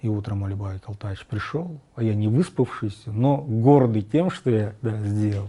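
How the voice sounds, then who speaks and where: A man's fairly low, dark, mellow voice, somewhat breathy, at a fairly slow pace with ordinary pitch variation. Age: 50s. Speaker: tapestry artist. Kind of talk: interview. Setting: artist's studio.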